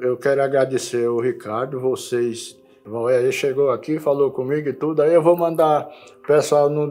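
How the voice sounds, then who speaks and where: A man speaks at a medium pace while music plays in the background. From Alagoas, northeastern Brazil (Viçosa, raised in Arapiraca). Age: 80s+. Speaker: elderly local resident interviewed for documentary. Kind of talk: interview, life story. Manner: halting, repeats words; casual, colloquial.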